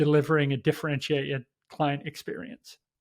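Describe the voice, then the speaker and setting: Over a quiet background, a man with an English accent and a fairly high pitch speaks at a moderate pace with fairly even intonation. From England. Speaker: sales executive. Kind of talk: interview.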